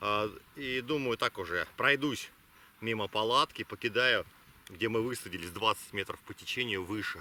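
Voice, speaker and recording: With ordinary pitch variation and long, frequent pauses, the voice has a dry, close sound with no echo. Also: man, medium pitch for a man, moderate pace. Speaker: travel vlogger. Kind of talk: vlog narration. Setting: outdoors. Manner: quiet; halting.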